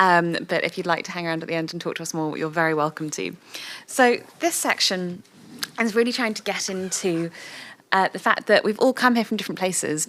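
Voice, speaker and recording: A woman's medium-pitched, plain, everyday voice, at a fairly quick pace with ordinary pitch variation. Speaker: workshop facilitator. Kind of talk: workshop facilitation.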